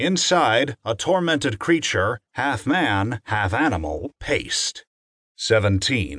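A man's very slow speech with vocal fry and very wide pitch swings, dry and close with no echo, against a quiet background. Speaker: audiobook narrator. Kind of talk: dramatic audiobook narration of fiction excerpt, with numbered lines.

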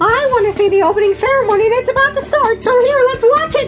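Over loud music in the background, a squeaky put-on character voice rattles along at a very fast pace with an extremely high pitch. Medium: audio drama. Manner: chatty, excitable.

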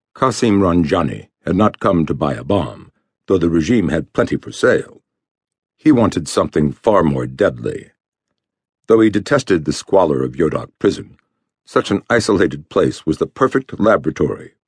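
A man speaks with a very deep, low pitch and vocal fry. His pitch swings very widely, and the sound is dry and close with no echo. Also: moderate pace. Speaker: audiobook narrator. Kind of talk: dramatic thriller narration, read aloud in a tense, measured storytelling tone. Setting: studio. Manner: grave and suspenseful, steady pacing with ominous emphasis on grim details.

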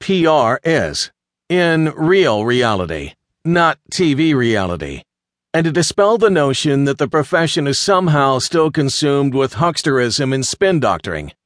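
Speaking at a fairly slow pace, a man with a fairly high pitch makes very wide pitch swings while his loudness stays very even. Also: dry, close sound with no echo, quiet background. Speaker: audiobook narrator. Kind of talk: audiobook reading of a textbook, scripted narration. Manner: even, steady, formal and instructive; measured, clear pacing, textbook-like.

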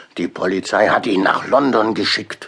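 A man's put-on character voice, fairly low in pitch with ordinary pitch variation, fairly bright in tone, with a slightly husky edge and vocal fry. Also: moderate pace.

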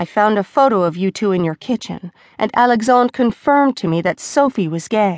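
Plain reading aloud comes with lively intonation.

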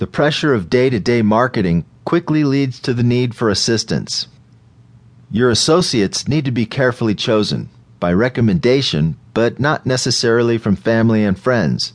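This man has a normal speaking voice at a medium pitch, with lively intonation. His pace is moderate and his loudness very even. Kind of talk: audiobook narration. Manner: formal, measured; even, businesslike reading.

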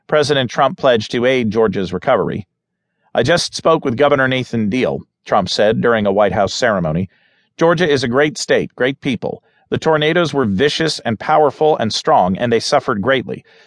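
A man's ordinary speaking voice at medium pitch and a fairly quick pace, with lively intonation and very even loudness, in a dry, close sound with no echo against a quiet background. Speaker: audiobook narrator. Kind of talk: news reading. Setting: studio. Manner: formal; steady, even-paced.

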